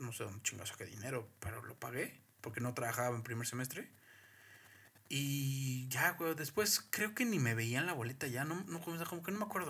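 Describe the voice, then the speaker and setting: A man talks at a fairly quick pace with medium pitch. His intonation is lively. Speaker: podcast co-host. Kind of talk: casual chat. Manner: loud.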